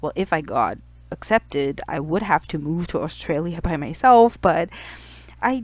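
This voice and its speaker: A woman speaks with a non-native accent and a fairly low pitch for a woman. Her pace is moderate and her intonation lively. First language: not English. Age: 30s. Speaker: youtuber. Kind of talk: personal vlog storytelling. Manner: casual, conversational.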